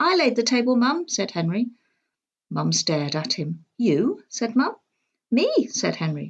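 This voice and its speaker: Against a quiet background, a woman with a fairly high pitch and vocal fry speaks at a fairly slow pace with very wide pitch swings. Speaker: storybook reader. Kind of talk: children's storybook reading.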